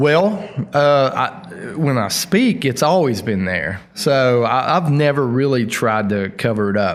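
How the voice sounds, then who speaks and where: Through noticeable background noise, a man with a strong Appalachian accent speaks with ordinary pitch variation. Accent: thick Appalachian Southern. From southern West Virginia (Logan). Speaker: heavy metal singer. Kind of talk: casual interview. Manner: slow drawl.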